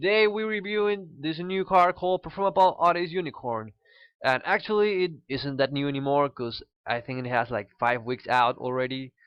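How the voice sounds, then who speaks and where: A man's fairly high voice with a Spanish accent, lively intonation and a moderate pace. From Peru. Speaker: card game YouTuber. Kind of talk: casual card review. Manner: halting, many fillers.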